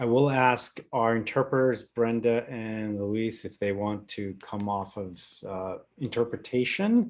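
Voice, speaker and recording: An unremarkable speaking voice from a man at medium pitch, fairly even in intonation and fairly slow in pace. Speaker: community foundation event host. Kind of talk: closing remarks at online panel.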